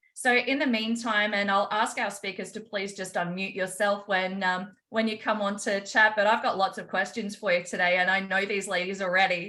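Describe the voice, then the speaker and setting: A woman with an Australian accent speaks at a moderate pace with hardly any pauses, in a bright, sharp tone at medium pitch with fairly even intonation. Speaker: holistic health practitioner and call host. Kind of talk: online group call hosting, interview.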